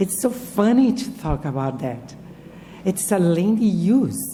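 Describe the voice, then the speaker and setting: Very wide pitch swings stand out in this voice with a Brazilian Portuguese accent, heard with audible room echo. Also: woman. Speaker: professor. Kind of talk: lecture. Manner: halting.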